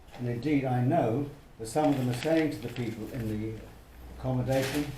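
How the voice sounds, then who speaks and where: A man at a fairly quick pace, fairly even in intonation, with noticeable background noise and audible room echo. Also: medium pitch for a man. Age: 70s. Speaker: retired local resident. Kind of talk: casual interview.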